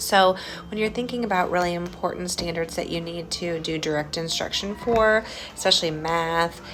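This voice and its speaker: Quietly and at a moderate pace, a woman talks at a fairly low pitch over noticeable background noise. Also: ordinary pitch variation. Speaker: school administrator. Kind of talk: video update to staff. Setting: school building. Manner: quiet, hushed; hesitant, many fillers.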